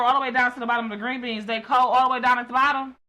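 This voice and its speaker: High-pitched woman's voice, raised and projected, bright and sharp in tone, animated, with ordinary pitch variation. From Detroit. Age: 40s. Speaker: podcast host. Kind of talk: casual chat.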